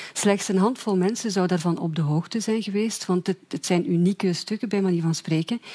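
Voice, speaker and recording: In a Flemish accent, a woman with a medium pitch and a dark, mellow tone talks at a fairly quick pace with hardly any pauses and ordinary pitch variation, the sound dry and close with no echo. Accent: Flemish Dutch. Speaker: journalist. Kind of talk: explanatory summary.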